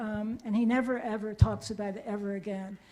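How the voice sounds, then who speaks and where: A woman's fairly high voice at a moderate pace, with fairly even intonation. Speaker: audience member asking question. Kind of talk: audience question in Q&A. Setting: lecture hall with audience.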